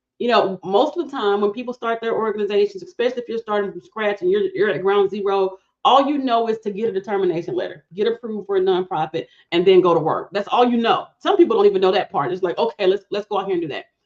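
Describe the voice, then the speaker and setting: A woman with an American accent at a very fast pace, hardly any pauses. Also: medium pitch for a woman, ordinary pitch variation. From Alabama, US South. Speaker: nonprofit funding consultant. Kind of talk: podcast interview. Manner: conversational, animated.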